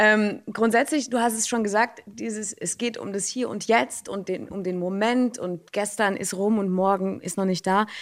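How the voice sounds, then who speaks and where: This woman has a normal speaking voice at a medium pitch, with fairly even intonation. She moves at a moderate pace with hardly any pauses. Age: 30s. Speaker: radio host. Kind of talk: interview.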